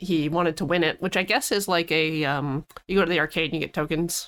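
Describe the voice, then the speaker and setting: A woman with an unremarkable speaking voice talks at a fairly low pitch, with fairly even intonation and very even loudness, on a very clean recording with a silent background. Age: 30s. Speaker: podcast co-host and editor. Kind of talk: casual chat.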